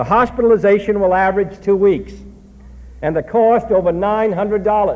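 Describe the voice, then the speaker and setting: This man's voice is high-pitched and carries an American accent. He talks at a fairly quick pace with fairly even intonation. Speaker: U.S. president giving a public address. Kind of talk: political speech to an audience. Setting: live speech to a crowd, vintage recording. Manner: emphatic, forceful.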